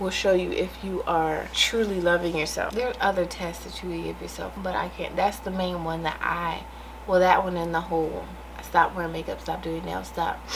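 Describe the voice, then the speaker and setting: Moderate-paced speech from a woman amid noticeable background noise and audible room echo. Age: 30s. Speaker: vlogger. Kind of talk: casual monologue to camera. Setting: in her room. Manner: animated.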